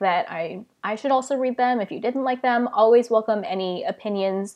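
In a quiet setting, a woman talks fairly quickly. Her pitch varies in an ordinary way. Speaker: book vlogger. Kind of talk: casual live stream chat. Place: home room. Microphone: earbuds.

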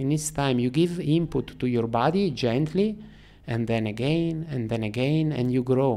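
A man speaks with an Italian accent at a fairly slow pace. His pitch varies in an ordinary way. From Italy, Turin; Italy. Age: 40s. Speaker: freediver; podcast guest. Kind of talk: interview. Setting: in person. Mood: calm, reflective. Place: studio. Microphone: studio mic.

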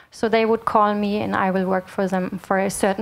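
Fairly even intonation in a plain, everyday voice. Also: woman. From Germany. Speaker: sustainability consultant. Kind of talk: lecture. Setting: stage with audience. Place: hall. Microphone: handheld.

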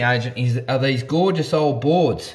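A man talks at a fairly slow pace. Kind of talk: site walkthrough commentary. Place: home room. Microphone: phone near.

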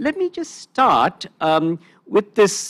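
A man's pitch swings very widely while the background stays quiet. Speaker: panel moderator. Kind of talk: moderated Q&A. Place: hall. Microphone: handheld.

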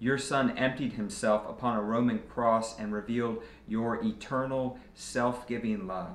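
Fairly even in intonation, a man speaks at a fairly slow pace with audible room echo. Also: hardly any pauses. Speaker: pastor. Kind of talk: fervent communal prayer of confession, liturgical and solemn. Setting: church. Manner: measured, reverent cadence with earnest pleading tone; formal liturgical phrasing, occasional small repetitions. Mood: solemn, calm. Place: office.

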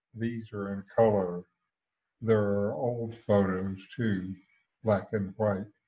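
A man talks with a quiet background behind him. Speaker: satsang host. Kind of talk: spiritual talk introduction. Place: home room. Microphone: headset.

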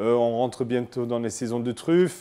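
With an English accent, a man speaks at a fairly slow pace. His tone is dark and mellow. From Scotland. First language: English (speaking French). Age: 30s. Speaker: chef. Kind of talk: interview testimony. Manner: halting, many hesitations.

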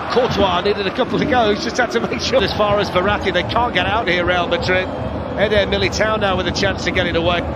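Over noticeable background noise, a man with a high-pitched voice talks very fast in an animated tone, keeping his loudness very even. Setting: broadcast commentary over match footage. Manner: animated, rapid play-by-play delivery.

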